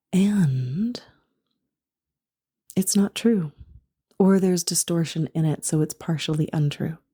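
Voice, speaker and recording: A woman's fairly low, dark and mellow voice, somewhat breathy, with ordinary pitch variation, a fairly slow pace and long, frequent pauses, in a dry, close recording with no echo. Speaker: spiritual coach and podcast host. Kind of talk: spiritual podcast talk.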